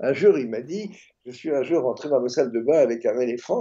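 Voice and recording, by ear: A man's dark, mellow voice with a slightly husky edge, lively intonation, and a fast pace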